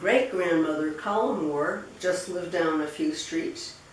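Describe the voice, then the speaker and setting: With an American accent and a medium pitch, a woman speaks at a fairly slow pace over noticeable background noise and audible room echo. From Rhode Island, US New England. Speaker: interviewee recounting family history. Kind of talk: oral history interview. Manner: halting, many fillers and repetitions.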